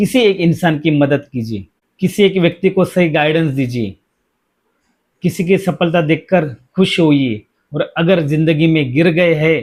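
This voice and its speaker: A man speaks in a normal speaking voice, pitched fairly high, using ordinary pitch variation. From India, Mumbai. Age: 40s. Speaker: safety educator and career guide. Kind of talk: personal reflective monologue. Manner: earnest, motivational.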